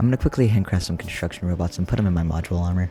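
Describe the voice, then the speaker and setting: A quiet man's very deep, low voice with ordinary pitch variation over music in the background. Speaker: gaming YouTuber. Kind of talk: gameplay commentary.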